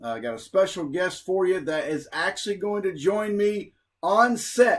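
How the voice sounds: A man with a high pitch and an American accent, at a fairly slow pace with ordinary pitch variation.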